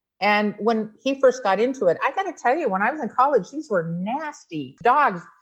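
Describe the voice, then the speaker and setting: A loud voice with an animated tone moves at a moderate pace. Its pitch swings very widely up and down. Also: woman, fairly high pitch for a woman. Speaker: dog breeder and show judge. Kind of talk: interview.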